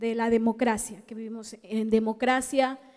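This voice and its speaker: In an Ecuadorian accent, a dark, mellow voice speaks at a fairly slow pace with fairly even intonation over a quiet background. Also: woman. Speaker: researcher, audience member; audience member. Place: hall.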